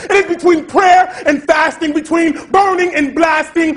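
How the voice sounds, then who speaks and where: The delivery is intense, with fairly even intonation. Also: man. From Rochester, New York, by way of Atlanta. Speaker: spoken word poet. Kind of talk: slam poetry performance. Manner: intense, defiant. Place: stage.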